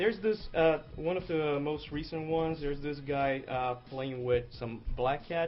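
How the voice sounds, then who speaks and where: With music playing in the background, a man in a Brazilian accent talks at a fairly slow pace. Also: fairly high pitch for a man, ordinary pitch variation, hardly any pauses. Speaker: comic artist. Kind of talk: casual chat.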